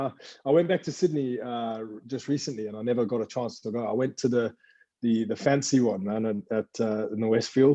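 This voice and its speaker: The voice has a dark, mellow tone, moving at a fairly quick pace with ordinary pitch variation. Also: man. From South Africa (Durban, Pietermaritzburg), then UK from age 15. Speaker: personal trainer and online coach. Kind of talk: casual podcast interview.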